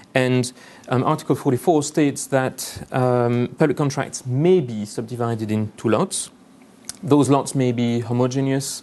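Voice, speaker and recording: Fairly even intonation marks this man's speech, delivered with a French accent. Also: medium pitch for a man, moderate pace. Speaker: lawyer. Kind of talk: conference presentation. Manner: hesitant, many fillers.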